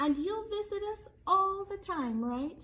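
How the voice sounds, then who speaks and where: Putting on a character voice, a woman speaks fairly slowly in an extremely high, squeaky pitch with a gentle tone. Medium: read story. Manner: gentle, quiet.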